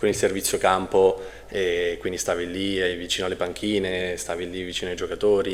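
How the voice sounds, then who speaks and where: Noticeable background noise runs throughout. A man speaks fairly quickly. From Marche, Italy (Macerata). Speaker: volleyball coach. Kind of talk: casual chat.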